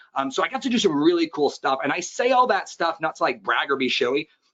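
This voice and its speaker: Pitched fairly high, a man speaks at a very fast pace. His pitch swings very widely. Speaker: fitness business coach. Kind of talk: webinar presentation. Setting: online webinar. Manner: animated.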